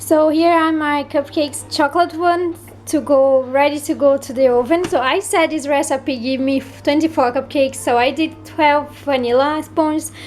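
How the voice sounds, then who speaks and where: With a non-native accent and a high pitch, a woman talks at a moderate pace with hardly any pauses and fairly even intonation while music plays in the background. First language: not English. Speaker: home baker. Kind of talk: cooking tutorial. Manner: casual, halting.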